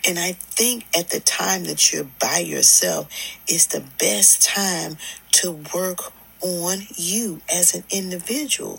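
A woman speaks very slowly as noticeable background noise carries on behind her. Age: 60s. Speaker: podcast host. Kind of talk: motivational monologue. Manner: conversational.

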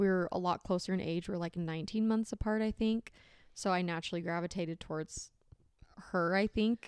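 A woman with an American accent speaks at medium pitch and a fairly quick pace, in a plain, everyday voice with fairly even intonation. The recording is very clean, with a silent background, and the sound is dry and close with no echo. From Arizona. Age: 20s. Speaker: podcast host. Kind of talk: casual chat.

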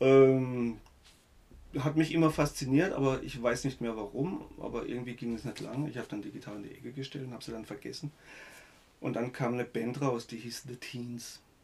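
With a plain, everyday voice, a man speaks at a moderate pace and medium pitch, his intonation fairly even but his loudness swinging widely. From Germany, Baden (Gernsbach). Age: 50s. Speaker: musician. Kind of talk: casual interview.

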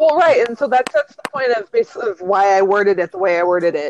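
A woman with an American accent talks at a very fast pace, in a dry, close sound with no echo. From Washington State. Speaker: podcast co-host. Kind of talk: casual chat. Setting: phone call.

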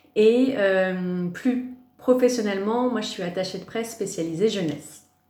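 Amid audible room echo, a woman talks at a very slow pace, with ordinary pitch variation and big swings in loudness. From Paris, France. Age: 30s. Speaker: press officer. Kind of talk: podcast interview.

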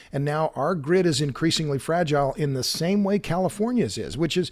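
The recording is very clean, with a silent background. A man speaks in a Southern US accent. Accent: Southern US (Oklahoma). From Oklahoma. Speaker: energy author and podcaster. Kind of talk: interview.

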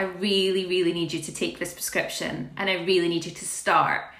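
Fairly quick speech from a woman, noticeable background noise and audible room echo around it. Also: hardly any pauses, big swings in loudness. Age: 30s. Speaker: podcast host. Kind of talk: casual interview chat.

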